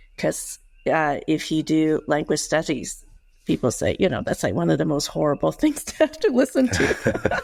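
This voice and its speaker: A Cantonese accent at a moderate pace on a very clean recording with a silent background. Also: woman. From Hong Kong, then US from age eleven. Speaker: former intelligence officer. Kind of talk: interview.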